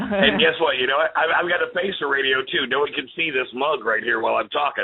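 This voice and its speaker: Pitched fairly high, a man talks at a fairly quick pace with lively intonation and very even loudness, noticeable background noise behind him. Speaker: podcast co-host. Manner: casual, enthusiastic.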